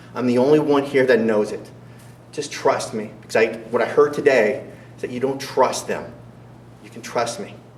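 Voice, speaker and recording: Animated in tone, a man at medium pitch speaks at a moderate pace with big swings in loudness, amid audible room echo and noticeable background noise. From US, moved between states (North Carolina, Montana). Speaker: political candidate. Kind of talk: campaign debate speech. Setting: school event with audience. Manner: animated, rhetorical.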